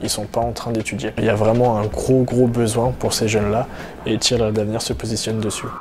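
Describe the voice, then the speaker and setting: Over noticeable background noise, a man talks at medium pitch and a fairly quick pace. His intonation stays fairly even. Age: 20s. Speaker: charity co-founder. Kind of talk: interview testimony. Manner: hesitant with fillers.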